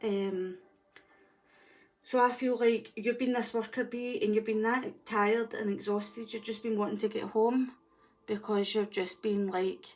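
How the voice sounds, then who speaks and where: Music plays behind a woman with a strong Scottish accent, who speaks at a moderate pace in a monotone, flat intonation. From Scotland. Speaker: tarot reader. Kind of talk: tarot reading.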